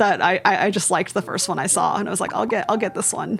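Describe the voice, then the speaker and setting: Amid noticeable background noise, a woman speaks in an animated tone with ordinary pitch variation. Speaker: gaming youtuber. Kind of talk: casual gameplay commentary.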